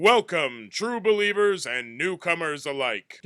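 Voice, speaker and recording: Using a put-on character voice, a man speaks high for a man at a fairly slow pace. The recording is very clean, with a silent background. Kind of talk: announcer voice. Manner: grandiose, theatrical.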